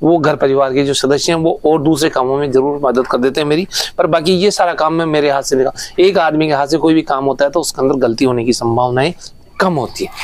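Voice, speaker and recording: This man's voice sits fairly high, with fairly even intonation and very even loudness. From Rajasthan, Jaipur district. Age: 60s. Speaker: farmer. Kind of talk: interview. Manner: halting.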